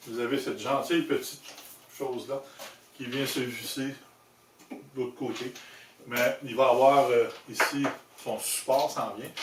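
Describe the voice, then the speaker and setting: A man speaks with a Quebec accent at a fairly slow pace, leaving long, frequent pauses. His loudness swings widely, and there is noticeable background noise. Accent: Québécois French. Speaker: motorcycle accessory maker and video host. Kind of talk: product demonstration tutorial. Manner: casual, conversational.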